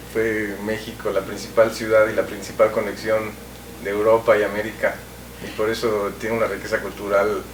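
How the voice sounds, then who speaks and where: The voice is monotone and flat at a moderate pace. Noticeable background noise and audible room echo fill the recording. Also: man. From Mexico. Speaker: TV cultural show host. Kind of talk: interview.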